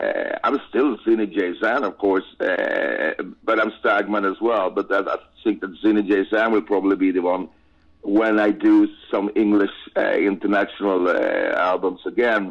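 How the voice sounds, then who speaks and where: A man with a Swedish accent, at a moderate pace. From Sweden. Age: 50s. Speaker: rock singer. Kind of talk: interview. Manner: halting.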